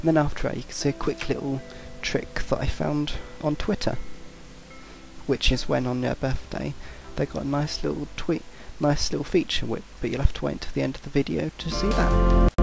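Over music in the background, the speaker moves at a fairly quick pace but leaves long, frequent pauses. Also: man. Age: young. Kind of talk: casual talk to camera.

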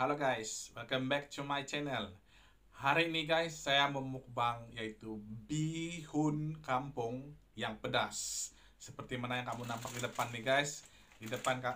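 The pace is fairly slow. A man talks with fairly even intonation. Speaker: mukbang vlogger. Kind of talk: casual vlog chat. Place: home room. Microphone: phone near.

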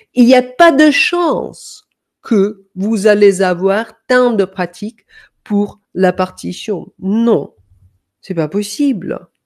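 Speaking very slowly, a woman uses lively intonation against a quiet background. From Denmark. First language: Danish (speaking French). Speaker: music coach; music teacher. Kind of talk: online masterclass; lecture. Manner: hesitant, many fillers. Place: home room. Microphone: webcam.

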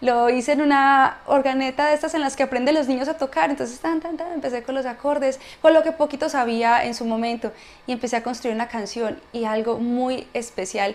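A woman's high voice at a fairly quick pace. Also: ordinary pitch variation. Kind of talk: testimony talk to a live audience. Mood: warm, emotional testimony. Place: home room.

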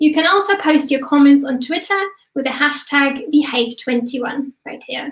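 The pace is moderate. A woman speaks in a high pitch. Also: quiet background. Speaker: event host. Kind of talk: event host introduction. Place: home room. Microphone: webcam.

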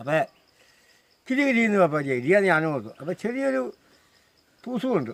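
This man's voice sits high and swings across a very broad pitch range. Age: 60s. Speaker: elephant handler. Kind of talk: storytelling interview.

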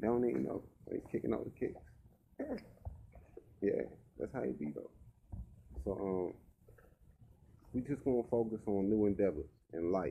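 A man's fairly low voice at a moderate pace, with lively intonation, big swings in loudness, long and frequent pauses, and light background noise. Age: 30s. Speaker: rapper and vlogger; vlogger. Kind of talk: casual vlog monologue. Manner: casual and conversational. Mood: reflective, relaxed. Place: home room. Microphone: webcam.

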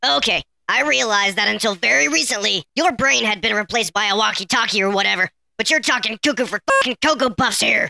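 A female-sounding voice at a very fast pace, fairly high in pitch, with lively intonation. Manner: sarcastic, profane, exasperated.

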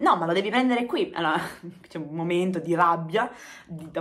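Against a quiet background, a woman talks at a very fast pace in a medium pitch. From Apulia, southern Italy. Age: 30s. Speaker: YouTuber. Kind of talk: casual storytelling vlog. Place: home room. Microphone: phone near.

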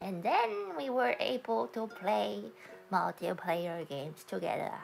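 Over clear music in the background, a woman uses a put-on character voice with a fairly low pitch, very wide pitch swings and a fairly slow pace. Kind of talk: casual livestream talk to chat. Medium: role play.

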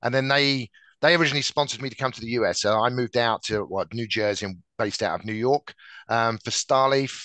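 A man with an English accent talks very fast in a bright, sharp tone, his intonation fairly even, the sound dry with no echo over a quiet background. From England. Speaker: tech sales director. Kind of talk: interview. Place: office. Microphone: headset.

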